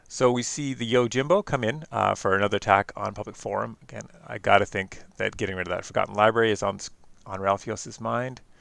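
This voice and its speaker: Against a quiet background, a man with a Canadian accent speaks at a very fast pace with hardly any pauses, a fairly low pitch, ordinary pitch variation and big swings in loudness. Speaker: game commentator. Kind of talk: live commentary. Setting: online stream. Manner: hesitant, many fillers.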